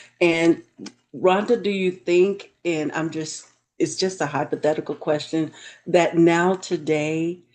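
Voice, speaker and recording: Pacing herself fairly slowly, a woman speaks in a plain, everyday voice, fairly low in pitch, with fairly even intonation. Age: 60s. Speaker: book talk show host. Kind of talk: interview. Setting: live stream.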